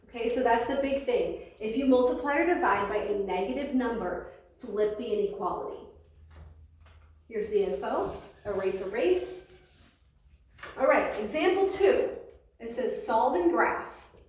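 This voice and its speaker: A loud woman with a high pitch and very wide pitch swings, at a moderate pace with long, frequent pauses, amid noticeable background noise and audible room echo. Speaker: math teacher. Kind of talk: lecture. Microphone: no microphone today, may be hard to hear.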